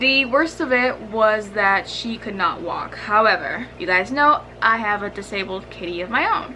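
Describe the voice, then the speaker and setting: Lively intonation and a moderate pace carry this woman's fairly high voice above noticeable background noise. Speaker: animal YouTuber. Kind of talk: casual storytime talk to camera.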